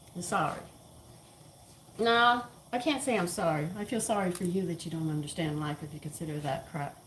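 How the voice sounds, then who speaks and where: Amid noticeable background noise and audible room echo, a woman with an American accent speaks at a medium pitch and a fairly quick pace, her intonation lively. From Texas. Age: 70s. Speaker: home cooking channel host. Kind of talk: casual cooking chat with opinions. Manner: opinionated, emphatic.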